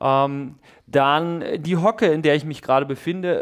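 The background stays quiet as a man talks. He keeps a moderate pace and ordinary pitch variation. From rural Germany. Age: 40s. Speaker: fitness YouTuber. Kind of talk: casual chat. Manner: hesitant, many fillers. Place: gym. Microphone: headset.

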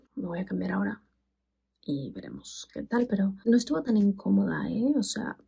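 A woman whispering at a moderate pace against a quiet background. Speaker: sex educator and vlogger; sex educator vlogger. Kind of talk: product review vlog. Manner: very quiet, near whisper. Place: bathroom. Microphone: phone near.

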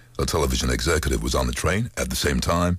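Against a quiet background, a man with a very deep, low pitch and ordinary pitch variation speaks at a very fast pace, the sound dry with no echo. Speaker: voice actor. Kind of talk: interview answer. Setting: studio. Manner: casual, upbeat. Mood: relaxed, storytelling. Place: studio. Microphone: studio mic.

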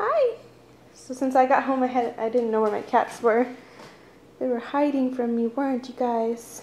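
A moderate pace paired with fairly even intonation. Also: woman, high pitch for a woman. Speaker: vlogger. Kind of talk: casual vlog chat. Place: home room. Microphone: phone near.

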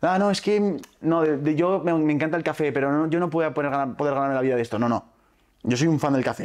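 Against a quiet background, a man talks at a very fast pace with a fairly high pitch, very even loudness and ordinary pitch variation. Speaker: entrepreneur and youtuber. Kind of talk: interview.

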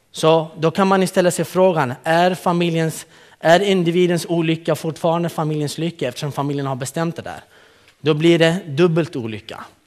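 A man at a moderate pace, fairly high in pitch, against a quiet background. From Kurdistan, northern Iraq; raised in Malmö, Sweden from age 12. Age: 30s. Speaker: youth program leader. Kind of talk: conference talk. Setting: stage with audience. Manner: animated, joking. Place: hall.

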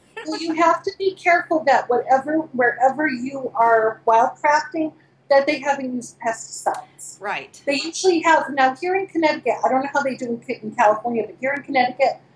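A woman talks at a fairly quick pace with hardly any pauses. Her pitch is high with ordinary variation, and there is audible room echo. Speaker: remote guest. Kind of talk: interview answer. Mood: enthusiastic, explanatory. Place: home room. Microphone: video call.

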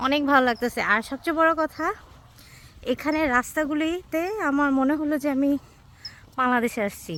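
Her voice sits high for a woman, with ordinary pitch variation. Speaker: vlogger. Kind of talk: travel vlog narration. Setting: outdoors on a mountain.

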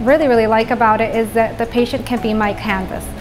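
Clear music plays in the background as a woman speaks in a fairly high pitch with fairly even intonation. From born in Venezuela, grew up in the Netherlands. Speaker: orthodontist. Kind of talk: interview answer. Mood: warm, proud. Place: office. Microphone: lapel.

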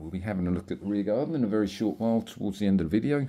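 A man's dark, mellow voice carries ordinary pitch variation. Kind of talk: property tour narration. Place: home room. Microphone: phone near.

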